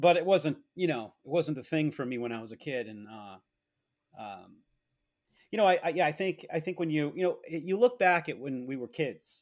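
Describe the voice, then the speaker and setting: A man with an American accent and an unremarkable speaking voice talks at a fairly quick pace and fairly high pitch. His intonation is lively, and the recording is very clean with a silent background. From Massachusetts. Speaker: comic book collector. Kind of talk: interview conversation.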